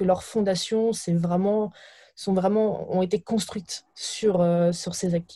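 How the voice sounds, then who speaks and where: A woman with a medium pitch and a dark, mellow, somewhat breathy tone speaks with fairly even intonation on a very clean recording with a silent background. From France, Burgundy countryside. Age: 20s. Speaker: startup founder. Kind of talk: interview. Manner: halting, repeats words.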